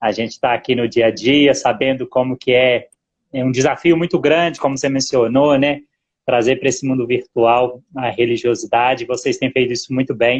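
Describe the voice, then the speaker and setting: Medium pitch, moderate pace and fairly even intonation from a man. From Zona da Mata, Minas Gerais, Brazil. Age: 40s. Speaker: business administrator and lay church minister. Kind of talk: interview. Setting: Instagram live stream. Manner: halting, with many fillers.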